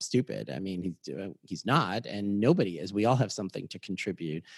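A man with an American accent at a fairly low pitch, with lively intonation and a moderate pace, in a dry, close sound with no echo and a quiet background. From Boston, Massachusetts. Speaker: clinical psychologist. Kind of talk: interview. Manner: halting.

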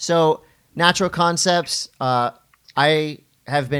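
A man speaks with fairly even intonation in a very clean recording with a silent background. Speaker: event host and podcaster. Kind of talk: casual banter podcast.

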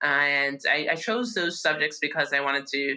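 A New York accent at a moderate pace. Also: woman. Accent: New York American. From New York, Yonkers. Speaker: law professor. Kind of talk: interview conversation.

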